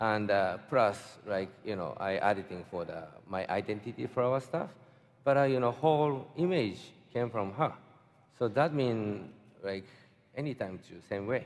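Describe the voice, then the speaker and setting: A man's fairly low voice with a Japanese accent, lively intonation and a fairly slow pace. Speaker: fine artist. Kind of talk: panel interview answer. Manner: hesitant, halting.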